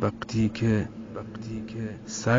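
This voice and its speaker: A man speaking at a very slow pace over music in the background. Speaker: poet. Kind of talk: poetry reading.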